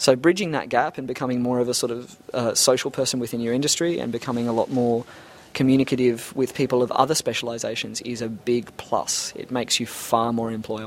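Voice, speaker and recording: A man speaks at a very fast pace with an Australian accent. His pitch is medium and his intonation fairly even. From Australia, Brisbane. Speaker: 3D animator. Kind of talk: interview.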